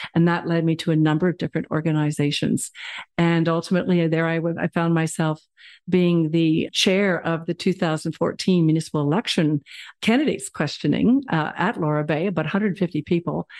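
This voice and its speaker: A woman with a Canadian accent speaks at a fairly quick pace in an ordinary speaking voice, her pitch fairly low and her intonation fairly even, recorded dry and close with no echo. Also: very even loudness, quiet background. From Ontario, Canada. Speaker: town councillor. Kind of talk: interview.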